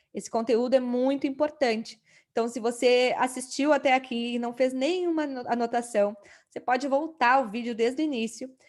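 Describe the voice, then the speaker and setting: A woman with a high pitch speaks at a fairly quick pace with fairly even intonation, in a very clean recording with a silent background. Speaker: holistic therapist and course teacher. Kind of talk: lecture.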